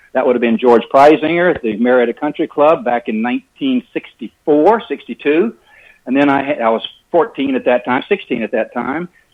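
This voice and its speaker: A man with fairly high pitch and lively intonation, at a fairly quick pace. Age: 60s. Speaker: golf instructor. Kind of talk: radio interview. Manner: animated. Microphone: breaking up connection.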